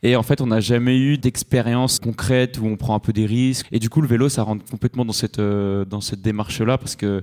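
A man uses a normal speaking voice at a medium pitch with fairly even intonation. The recording is very clean, with a silent background and a dry, close sound with no echo. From Switzerland. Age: 20s. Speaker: traveller. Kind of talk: live interview. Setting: stage with audience.

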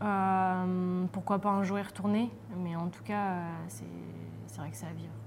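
A woman speaks at a very slow pace. Her loudness swings widely. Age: 30s. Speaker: professional footballer. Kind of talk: casual interview.

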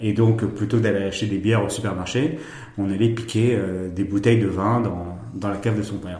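In a space with audible room echo and noticeable background noise, a man speaks at a moderate pace with a fairly low pitch and fairly even intonation. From France, Bordeaux. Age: 40s. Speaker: wine estate director. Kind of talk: interview. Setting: tasting room at a wine estate.

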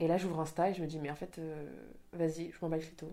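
The speaker is a woman with a fairly low pitch. She talks at a very fast pace. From Spain. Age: 20s. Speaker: Instagram content creator. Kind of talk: casual interview. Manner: animated.

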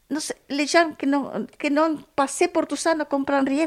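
In a Spanish accent, a high-pitched woman speaks with fairly even intonation on a very clean recording with a silent background. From Argentina. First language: Spanish (speaking French). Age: 70s. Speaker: guest with experience of homelessness. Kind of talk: interview testimony.

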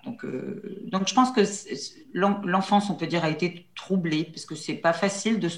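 A woman with a fairly low pitch takes her time, talking at a fairly slow pace. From central France, near La Châtre. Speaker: trainer and coach. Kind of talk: interview conversation. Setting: video call. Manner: hesitant, many fillers.

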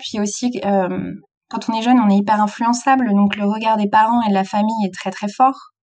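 With fairly even intonation, the speech moves along at a moderate pace. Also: woman. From France, Brittany (south Finistère). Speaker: author and youth trainer. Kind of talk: interview. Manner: hesitant, many fillers.

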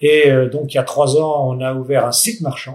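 The voice belongs to a man. It carries a somewhat breathy quality. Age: 60s. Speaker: company director. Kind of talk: interview. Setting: on company site. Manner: hesitant, many fillers.

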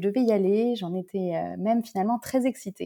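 A woman talks fairly quickly in a fairly high pitch, her tone dark and mellow, with ordinary pitch variation. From Paris, France. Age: 30s. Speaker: solo traveler and freelance digital communications worker. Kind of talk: interview conversation. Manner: halting, with many repetitions and fillers.

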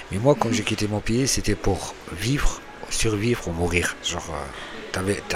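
A man's fairly low voice sounds over noticeable background noise. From Algeria. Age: 40s. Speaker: homeless man. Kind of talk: interview.

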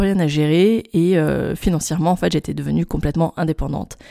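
Fairly quick delivery with a dark, mellow tone and fairly even intonation, captured in a very clean recording with a silent background. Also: woman. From France, Grenoble area. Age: 30s. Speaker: podcast host, tourism marketing consultant. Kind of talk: solo monologue podcast. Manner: hesitant, many fillers and repetitions.

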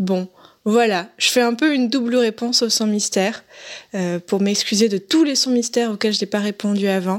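Fairly slow speech from a woman, fairly high in pitch, with ordinary pitch variation. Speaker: podcaster and listener. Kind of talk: recorded voice message. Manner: hesitant.

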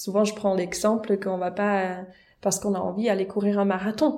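A dark, mellow tone at a moderate pace, with a slight Swiss German accent. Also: woman. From German-speaking Switzerland. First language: Swiss German (speaking French). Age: young. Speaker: vocal coach and pastor. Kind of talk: casual interview.

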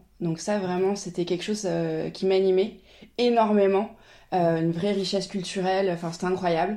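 In a quiet background, a woman with a dark, mellow tone talks at a moderate pace, leaving long, frequent pauses. Her medium-pitched voice stays monotone and flat. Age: 30s. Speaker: travel agency founder. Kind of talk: casual interview.

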